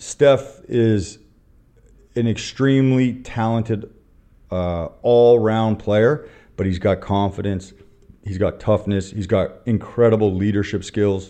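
Very slowly, a man speaks in a fairly low, dark, mellow voice with fairly even intonation. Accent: Canadian. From Canada. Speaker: basketball coach. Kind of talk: interview.

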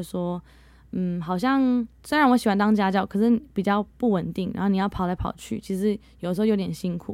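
On a very clean recording with a silent background, a woman speaks at a moderate pace with medium pitch and ordinary pitch variation. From Netherlands. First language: bilingual Mandarin and English (speaking Chinese). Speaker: English teacher. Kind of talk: interview.

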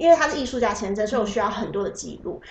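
A woman's fairly high voice at a very fast pace, with audible room echo. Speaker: photographer. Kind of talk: casual interview. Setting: host's home. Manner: soft-spoken.

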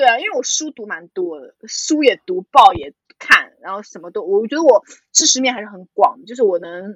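A woman speaks at a moderate pace in a fairly high pitch. Both her pitch and loudness swing widely. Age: 20s. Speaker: podcast co-host. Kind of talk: casual chat.

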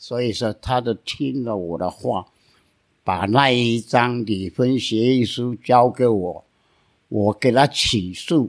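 Speech from a man, delivered at a very slow pace. The pitch variation is ordinary. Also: medium pitch for a man. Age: 80s+. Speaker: lawyer. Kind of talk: storytelling.

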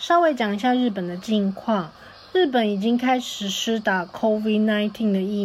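Here is a woman with an unremarkable speaking voice at medium pitch. She speaks at a fairly slow pace with ordinary pitch variation. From Taipei, Taiwan. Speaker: host's university classmate. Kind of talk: recorded message.

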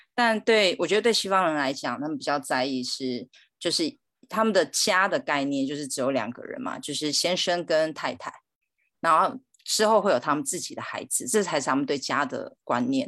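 A woman with a Chinese accent talks at a fairly quick pace in a fairly low pitch, making very wide pitch swings. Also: quiet background. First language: Mandarin Chinese. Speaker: guest. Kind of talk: casual chat.

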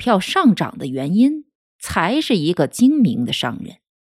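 A very clean recording with a silent background, delivered at a fairly slow pace. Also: woman. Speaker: audiobook narrator. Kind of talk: audiobook narration, literary reading aloud of a book. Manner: steady, measured, formal narration.

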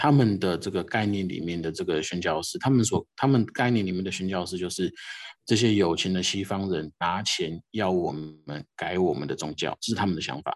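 At a fairly quick pace, a man with a very deep, low voice speaks with ordinary pitch variation. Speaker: missionary. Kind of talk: interview. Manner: halting, many fillers.

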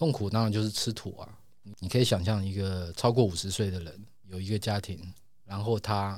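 A man speaks quietly at a fairly low pitch. His intonation stays fairly even. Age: 50s. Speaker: comic artist. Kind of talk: interview. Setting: studio. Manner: slow, deliberate; reserved, quiet.

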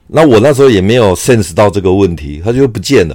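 The pitch of this man's voice is fairly low. It moves in very wide swings. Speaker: podcaster, army veteran. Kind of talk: personal storytelling monologue. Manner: hesitant, many filler sounds.

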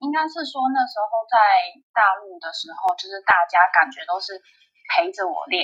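With a bright, sharp tone and a fairly high pitch, a woman speaks at a moderate pace, with very wide pitch swings, big swings in loudness and long, frequent pauses. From Taiwan, Taipei. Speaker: table tennis player. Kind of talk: interview. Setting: remote call.

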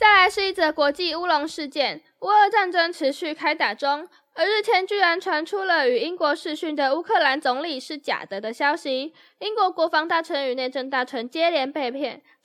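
Extremely high in pitch, a woman's bright, sharp voice moves at a moderate pace with lively intonation. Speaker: podcast co-host, journalism student. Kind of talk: casual chat; reading news items aloud.

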